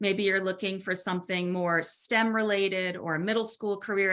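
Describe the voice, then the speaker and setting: Speaking in an unremarkable speaking voice, a woman holds a medium pitch and a moderate pace. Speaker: webinar presenter. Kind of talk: webinar presentation. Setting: online webinar.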